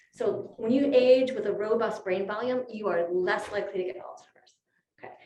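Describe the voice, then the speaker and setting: Talking at a fairly quick pace, a woman with a fairly high pitch is heard amid audible room echo. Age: 50s. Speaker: physician and speaker. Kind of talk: lecture. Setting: luncheon talk with audience and Zoom. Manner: conversational.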